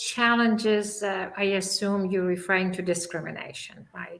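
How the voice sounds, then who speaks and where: Flat, monotone delivery in a non-native accent, with audible room echo. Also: woman. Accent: foreign. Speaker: scientist. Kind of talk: panel discussion.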